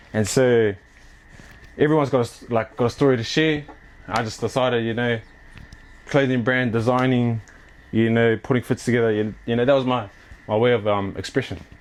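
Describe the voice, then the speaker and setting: A man speaks with fairly even intonation. He leaves long, frequent pauses. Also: medium pitch for a man, fairly quick pace. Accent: New Zealand. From New Zealand. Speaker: clothing brand owner and athlete. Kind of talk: casual interview chat. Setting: at home, walking tour. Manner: casual, filler-heavy.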